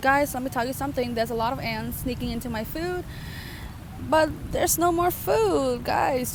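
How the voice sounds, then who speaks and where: A woman with a non-native accent speaks at a high pitch, with noticeable background noise and audible room echo. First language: not English. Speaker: book vlogger. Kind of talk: casual vlog monologue. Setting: outdoors by a lake.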